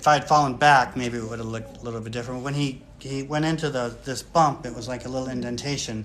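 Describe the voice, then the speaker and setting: Rushing at a very fast pace with hardly any pauses, a man with an American accent speaks at a medium pitch and fairly even intonation, his loudness swinging widely amid audible room echo. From US Midwest, Michigan (Kalamazoo). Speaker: retired academic, channel owner. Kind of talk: casual chat on a livestream. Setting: live video stream with wife. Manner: hesitant, many fillers.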